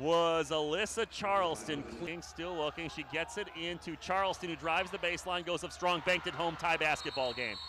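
The energetic tone comes at a fairly quick pace with hardly any pauses and ordinary pitch variation. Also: man, high pitch for a man. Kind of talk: live play-by-play sports commentary over game highlights. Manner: clipped, energetic, stumbles and restarts mid-call as the action moves.

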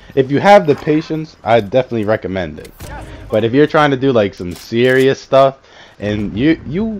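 Moderately paced speech rides very wide pitch swings over noticeable background noise. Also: man. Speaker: gaming youtuber. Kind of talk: casual gaming video commentary.

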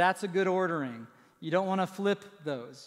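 The background stays quiet. His intonation is lively as the man talks. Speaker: pastor. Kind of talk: sermon. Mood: light, humorous. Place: church. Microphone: headset.

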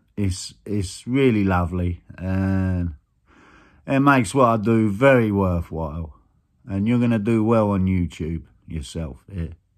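A man's very deep, low voice at a fairly slow pace, with ordinary pitch variation, long, frequent pauses and a quiet background. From southern England, Kent. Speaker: guitar YouTuber. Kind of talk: casual vlog chat. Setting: recorded video. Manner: hesitant, many fillers. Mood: warm, grateful. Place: home room. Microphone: phone near.

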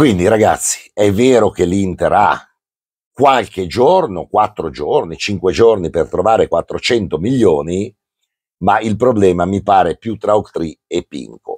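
Over a quiet background, a man speaks at a fairly low pitch with ordinary pitch variation. The sound is dry, with no echo. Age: 60s. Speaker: football commentator. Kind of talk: casual chat. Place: home room. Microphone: lapel.

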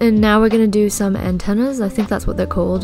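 A woman speaks with music in the background. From Australia. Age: 20s. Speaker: digital artist. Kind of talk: drawing tutorial narration.

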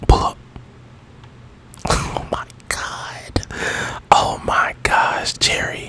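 The voice belongs to a man, and he whispers. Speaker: gaming ASMR YouTuber. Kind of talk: casual gameplay commentary. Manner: animated, reactive, excited. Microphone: studio mic.

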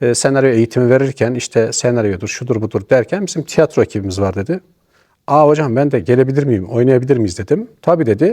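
A dark, mellow tone carries lively intonation at a fairly quick pace. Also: man, medium pitch for a man, dry, close sound with no echo. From Niğde, central Anatolia, Turkey. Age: 50s. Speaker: retired amateur theatre actor. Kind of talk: interview.

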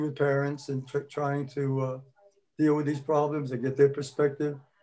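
The male speaker's pace is moderate. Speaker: retired school principal; guest. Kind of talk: casual chat. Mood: earnest, concerned. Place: home room. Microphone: video call.

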